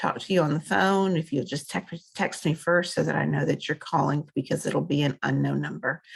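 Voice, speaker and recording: A woman's very deep, low voice with vocal fry. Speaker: university instructor. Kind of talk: recorded lecture. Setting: screen-share video recording. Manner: halting, many fillers.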